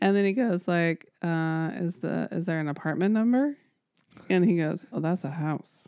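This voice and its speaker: Lively intonation and a moderate pace in an ordinary speaking voice. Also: woman, fairly low pitch for a woman. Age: 40s. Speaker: podcast co-host. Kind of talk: casual chat.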